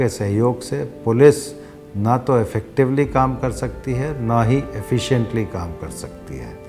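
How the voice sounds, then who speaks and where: The voice has ordinary pitch variation, with music in the background. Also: man. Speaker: police commissioner. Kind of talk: interview answer.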